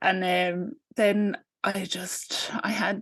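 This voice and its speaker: A woman with a medium pitch talks against a quiet background. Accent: Irish. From Ireland. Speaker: postpartum doula. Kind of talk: interview. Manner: hesitant, many fillers.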